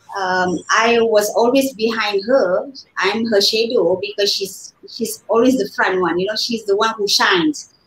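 Amid light background noise and audible room echo, a woman speaks at a fairly high pitch with ordinary pitch variation. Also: fairly slow pace. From Malaysia. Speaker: fashion design scholar and trainer; interview guest, fashion educator. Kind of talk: interview. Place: home room.

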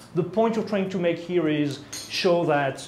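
Audible room echo and light background noise surround a man speaking at a moderate pace with a French accent. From France. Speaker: product management lead. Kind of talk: product presentation. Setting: presentation room with live audience. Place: meeting room.

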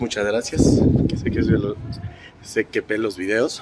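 Noticeable background noise accompanies a man speaking. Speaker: vlogger. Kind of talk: casual vlog narration.

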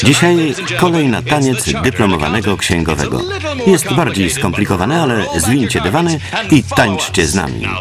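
Music in the background behind a man with a fairly low voice, very wide pitch swings and a moderate pace. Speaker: voice-over reader. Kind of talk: voice-over translation of a comedy sketch.

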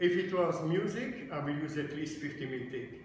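At a fairly slow pace, a man talks in a room with strong echo and light background noise. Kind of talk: tutorial. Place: office. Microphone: phone near.

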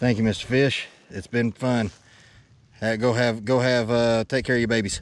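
This man speaks with a Tennessee accent at a moderate pace. The sound is dry with no echo, and his long pauses come often. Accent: US Southern (Tennessee). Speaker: fishing YouTuber. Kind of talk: casual vlog talk to camera while fishing. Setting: outdoors on a lake, fishing boat. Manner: animated. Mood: excited, cheerful. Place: boat. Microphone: phone near.

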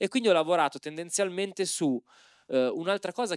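Very fast speech from a man with ordinary pitch variation comes over a quiet background in a dry sound with no echo. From Milan periphery (Opera), family from Civitavecchia; Milan. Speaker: anthropologist and moderator; moderator. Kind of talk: panel discussion. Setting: stage with audience. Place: hall. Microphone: handheld.

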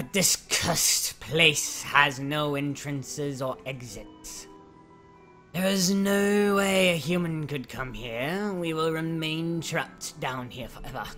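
The voice sits at a middle pitch while clear music plays in the background. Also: fairly slow pace. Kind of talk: grave legend telling. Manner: mournful.

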